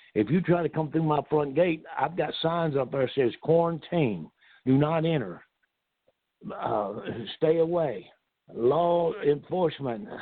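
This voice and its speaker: A fairly high-pitched man's voice in a Southern US accent, fairly slow, with ordinary pitch variation and long, frequent pauses. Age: 70s. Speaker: retired pro wrestler. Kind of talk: casual interview.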